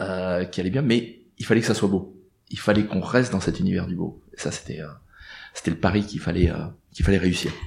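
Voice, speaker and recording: A man is speaking. His pace is fairly quick. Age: 50s. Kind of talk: interview. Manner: halting.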